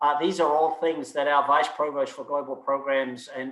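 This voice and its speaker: Speaking with a non-native accent, a man uses a fairly high pitch and a monotone, flat intonation. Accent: noticeable foreign. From outside the US. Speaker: university provost. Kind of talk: Q&A answers at student government meeting. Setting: video call. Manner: hesitant, many repetitions.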